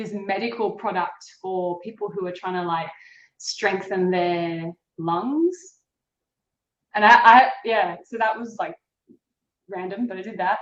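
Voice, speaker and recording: A woman with an Australian accent speaks at a very slow pace, leaving long, frequent pauses. Her loudness swings widely. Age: young. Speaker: actress. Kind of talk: casual chat.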